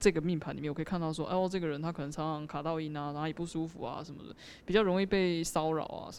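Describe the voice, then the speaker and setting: A very rapid delivery, very cleanly recorded against total background silence. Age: 20s. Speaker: video editor explaining fortune-telling. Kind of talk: casual chat.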